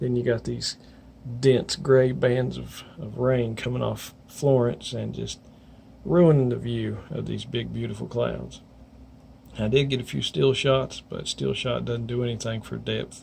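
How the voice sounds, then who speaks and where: A man with a coastal North Carolina accent at a fairly slow pace. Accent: US Southern, coastal North Carolina. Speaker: weather vlogger. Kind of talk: casual video update. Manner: rambling, halting.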